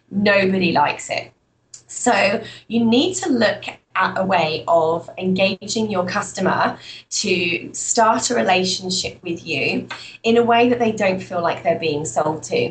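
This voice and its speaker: Speaking in a British accent at a fairly slow pace, a woman uses a medium pitch and lively intonation. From UK. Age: 20s. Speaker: entrepreneur and trainer. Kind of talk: interview.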